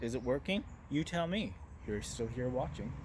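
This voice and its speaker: Loud and at a moderate pace, a man's voice makes very wide pitch swings. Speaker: business marketing talk show host. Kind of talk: monologue presentation to camera. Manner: loud and direct.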